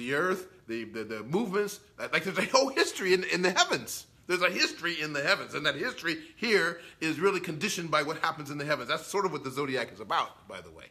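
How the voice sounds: At a fast pace with few pauses, a man speaks in a fairly high pitch with a bright, sharp tone and big pitch swings.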